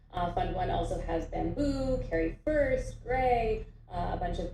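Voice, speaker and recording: A woman with an American accent is heard through noticeable background noise and audible room echo. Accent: very American. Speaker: venture capital investor. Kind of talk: mentorship talk.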